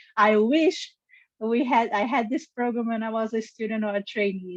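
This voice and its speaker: With a Brazilian Portuguese accent, a woman speaks at a moderate pace and fairly even intonation, in a dry, close sound with no echo. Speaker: geneticist and review analyst. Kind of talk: career interview.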